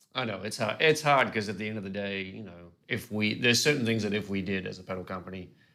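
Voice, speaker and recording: A man with an Australian accent, a fairly low pitch and a bright, sharp tone, at a very fast pace with hardly any pauses and ordinary pitch variation, in a very clean recording with a silent background. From Australia, Gold Coast. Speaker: pedal company staff, interviewer. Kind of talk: casual interview chat.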